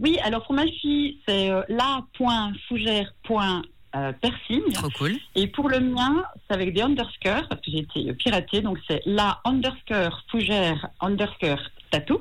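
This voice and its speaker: Somewhat breathy and fairly high, a woman's voice moves very slowly through very wide pitch swings. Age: 50s. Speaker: tattoo artist. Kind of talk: radio phone interview. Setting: phone call.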